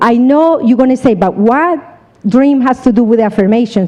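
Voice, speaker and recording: A woman speaks in a high voice with a Colombian accent and ordinary pitch variation. Her tone is animated, and background noise is noticeable. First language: Spanish. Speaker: seminar speaker, insurance business. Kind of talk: motivational talk.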